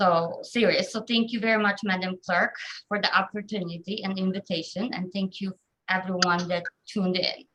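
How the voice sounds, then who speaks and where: A woman with a Polish accent, medium in pitch, fairly even in intonation, at a moderate pace. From southern Poland. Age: 30s. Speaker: government office employee. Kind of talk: personal life story talk. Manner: frequent hesitations (um).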